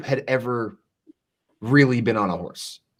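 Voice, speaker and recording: With a Southern US accent, a man is speaking. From US South, East Tennessee mountains. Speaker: entrepreneur, content creator. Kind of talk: casual interview chat.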